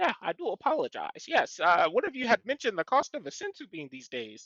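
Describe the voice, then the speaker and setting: A man does a put-on character voice at an extremely high pitch and a fairly quick pace, with big swings in loudness and a dry, close sound with no echo. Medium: actual play. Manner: fussy, scholarly.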